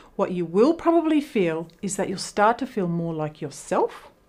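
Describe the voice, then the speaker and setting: In a very clean recording with a silent background, a woman with an Australian accent talks in a dark, mellow tone with lively intonation. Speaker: teacher explaining women's health. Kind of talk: educational talk. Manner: conversational.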